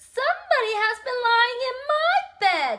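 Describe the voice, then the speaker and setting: Put-on character voice from a woman, squeaky and pitched extremely high, delivered at a moderate pace. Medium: read story. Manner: gruff, indignant.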